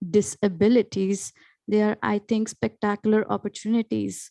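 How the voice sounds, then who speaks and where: A woman with an Indian accent speaks at medium pitch and a moderate pace, her tone dark and mellow. The sound is dry and close with no echo, a very clean recording over a silent background. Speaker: panelist, educator. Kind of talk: panel discussion.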